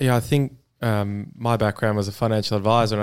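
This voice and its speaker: A man's fairly low voice at a moderate pace. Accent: Australian. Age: 20s. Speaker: sales professional. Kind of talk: casual interview.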